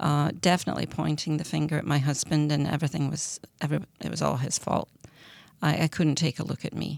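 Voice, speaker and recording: A woman with a very deep, low voice and vocal fry talks very fast in a flat monotone, recorded very cleanly against a silent background. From Scotland. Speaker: person in addiction recovery. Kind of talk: testimony. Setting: studio.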